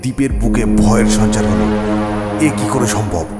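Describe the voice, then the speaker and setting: Music plays in the background while a man talks in a fairly low voice. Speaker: audio story narrator. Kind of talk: horror audio story narration.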